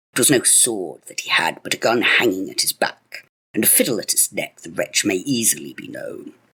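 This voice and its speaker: Using a put-on character voice, the speaker keeps a moderate pace with hardly any pauses and big swings in loudness. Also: man. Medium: read story. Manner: excitable, exclamatory.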